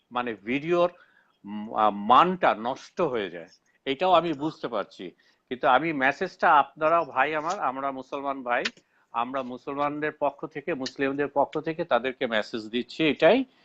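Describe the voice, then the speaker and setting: Here a man speaks with a fairly high pitch, ordinary pitch variation and a bright, sharp tone. The sound is dry and close with no echo, over a quiet background. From Bangladesh. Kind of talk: live online debate. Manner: halting, with frequent self-corrections.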